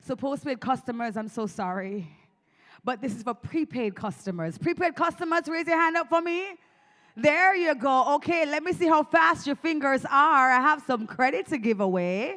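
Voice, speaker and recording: A woman speaks at a moderate pace with a Jamaican accent, her high pitch swinging very widely. Her tone is bright and sharp, and the recording is very clean with a silent background. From Jamaica, Clarendon. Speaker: event presenter giving away phone credit. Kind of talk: live crowd interaction.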